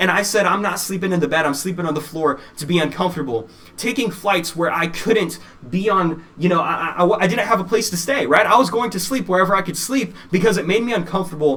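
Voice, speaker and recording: A man with a high pitch talks at a very fast pace in an animated tone. Noticeable background noise runs underneath. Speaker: motivational speaker. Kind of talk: keynote speech.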